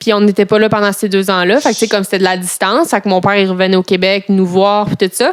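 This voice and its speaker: A woman is speaking. Her pitch is medium. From Quebec. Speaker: interviewee. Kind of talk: casual chat.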